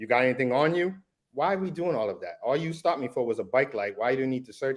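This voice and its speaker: Against a quiet background, a man with a Massachusetts accent talks very fast with lively intonation. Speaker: defense attorney and army veteran. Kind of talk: casual discussion.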